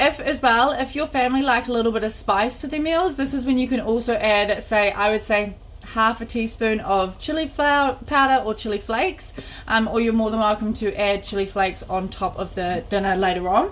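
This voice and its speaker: With a New Zealand accent, a woman talks at a fairly quick pace and a fairly high pitch. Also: ordinary pitch variation. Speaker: cooking class host. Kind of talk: live cooking tutorial. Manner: fast.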